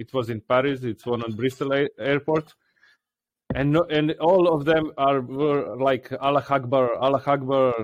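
With a Croatian accent, the speaker talks at a fairly quick pace with fairly even intonation, in a dry, close sound with no echo. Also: man. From Croatia (Dalmatia), raised partly in Serbia. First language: Croatian/Serbian. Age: 40s. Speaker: podcast co-host. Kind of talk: casual chat. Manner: halting, non-fluent English.

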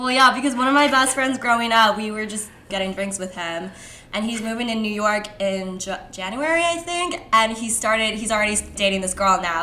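A woman with an American accent speaks at a fairly quick pace with lively intonation and a fairly high pitch. Audible room echo and noticeable background noise are present. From US West Coast, San Francisco Bay Area. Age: 20s. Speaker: podcast guest. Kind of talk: casual chat.

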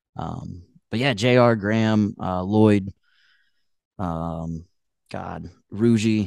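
A man with a Midwestern American accent, fairly low in pitch, at a very slow pace with long, frequent pauses, ordinary pitch variation and big swings in loudness, over a quiet background. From US Midwest, northwest Ohio. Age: 20s. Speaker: country singer-songwriter. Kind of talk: casual interview chat.

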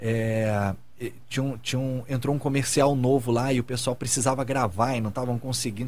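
A man speaks at a fairly quick pace with a medium pitch. His voice is somewhat breathy. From Brazil, Rio de Janeiro. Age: 30s. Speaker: TV director and talk show co-host. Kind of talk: casual chat. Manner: animated.

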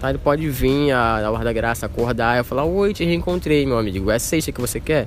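A man speaks at a fairly quick pace with lively intonation. Noticeable background noise runs under his voice. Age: 20s. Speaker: podcast guest, host's date. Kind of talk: casual chat. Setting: outdoors in a public square.

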